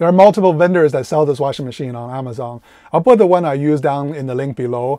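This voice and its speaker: A man's dark, mellow voice at a very fast pace, with big swings in loudness and ordinary pitch variation, dry and echo-free over a quiet background. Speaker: van life reviewer. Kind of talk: product review vlog. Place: car. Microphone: lapel.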